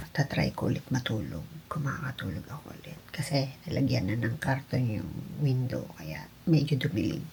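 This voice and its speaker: A soft-spoken woman with a very deep, low pitch talks at a moderate pace, her pitch swinging very widely. Her loudness rises and falls sharply over noticeable background noise. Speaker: vlogger. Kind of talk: vlog.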